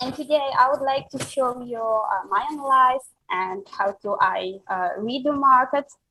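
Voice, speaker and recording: A woman with a non-native accent speaks at a fairly slow pace in a high pitch. Her tone is bright and sharp, and her pitch varies an ordinary amount. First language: not English. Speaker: crypto analyst. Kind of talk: live presentation. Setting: live stream. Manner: halting, many fillers.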